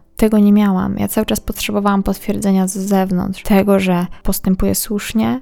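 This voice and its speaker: At a moderate pace, the voice comes through with a dark, mellow tone. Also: woman. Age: 20s. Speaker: podcast host. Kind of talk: personal monologue.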